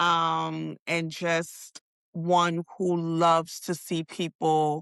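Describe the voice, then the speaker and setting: Very slowly, a woman with an American accent speaks in a fairly low pitch and a bright, sharp tone. The sound is dry and close with no echo, over a quiet background. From New York. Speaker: life coach and educator. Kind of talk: interview.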